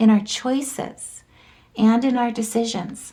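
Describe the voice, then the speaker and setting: A woman's somewhat breathy, dark, mellow voice with a fairly high pitch. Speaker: tarot and astrology reader. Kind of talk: astrology forecast monologue.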